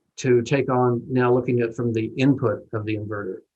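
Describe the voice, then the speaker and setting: The speaker is a man whose voice is at a medium pitch. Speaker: engineer presenter. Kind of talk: webinar presentation. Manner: fast.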